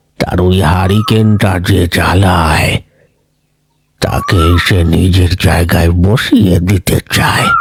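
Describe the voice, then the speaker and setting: In a cartoonish character voice, a man speaks at a very slow pace with a very deep, low pitch, monotone, flat intonation and very even loudness. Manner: earnest, admonishing.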